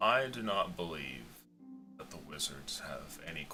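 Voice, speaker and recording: Putting on a booming, raspy character voice at a very deep, low pitch, a man speaks at a moderate pace with clear music in the background. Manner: skeptical, unconvinced.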